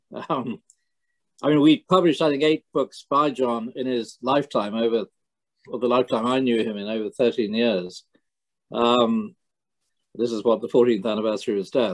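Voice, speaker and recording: Against a quiet background, a man with an Irish accent talks at a moderate pace with ordinary pitch variation. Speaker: book publisher. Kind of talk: conversation. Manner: halting. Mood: warm, appreciative. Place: home room. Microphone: video call.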